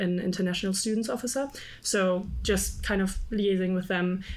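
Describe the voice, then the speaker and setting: In a German accent, a woman speaks at a moderate pace and medium pitch, with audible room echo. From Germany. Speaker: student union candidate. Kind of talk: panel interview.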